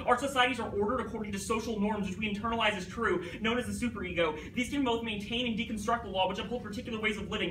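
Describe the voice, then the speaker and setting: Against noticeable background noise, a man talks very fast at a high pitch with monotone, flat intonation. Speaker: high school debater. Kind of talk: competitive debate speech. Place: classroom. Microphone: camera far.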